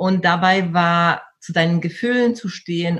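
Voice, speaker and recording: Somewhat breathy, this woman's voice sits fairly low in pitch. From Poland until age 12, then Germany. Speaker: personal development coach and speaker. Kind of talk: interview conversation.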